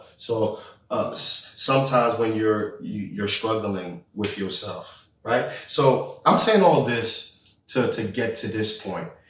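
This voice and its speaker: The room echo is audible here. A man talks at a very slow pace. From Haiti, moved to the US as a child. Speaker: podcast co-host. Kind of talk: casual chat.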